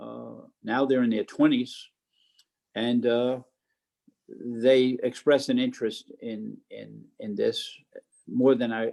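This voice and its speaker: A man with an American accent speaks at a very slow pace. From US Northeast (New York / New Jersey). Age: 90s. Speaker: war veteran. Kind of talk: interview. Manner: halting.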